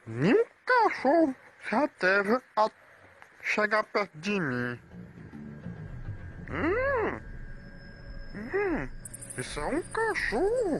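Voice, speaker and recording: A put-on character voice speaks at a very slow pace. Long, frequent pauses break up the delivery. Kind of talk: comedic pet video voiceover. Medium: dub.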